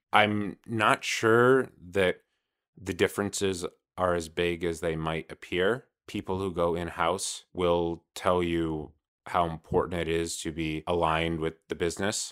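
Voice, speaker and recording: With a Californian accent, a man speaks fairly slowly in a very deep, low voice with fairly even intonation. The sound is dry and close with no echo. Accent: American, Californian. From Los Angeles, California. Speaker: legal industry executive, former lawyer. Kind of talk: casual interview conversation. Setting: virtual studio, video call.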